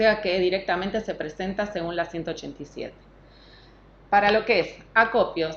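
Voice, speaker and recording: A woman's ordinary speaking voice, medium in pitch, with ordinary pitch variation. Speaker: government environmental technician. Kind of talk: technical talk.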